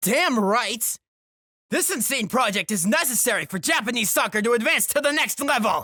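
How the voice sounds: In a put-on character voice, the speaker uses lively intonation and a bright, sharp tone at a moderate pace. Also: man, extremely high pitch for a man.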